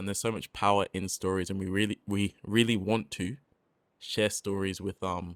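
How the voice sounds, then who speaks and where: A fairly low-pitched man with an English accent at a moderate pace, intonation fairly even, in a dry, close sound with no echo on a very clean recording with a silent background. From England. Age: 20s. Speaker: rapper and podcast co-host. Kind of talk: casual chat.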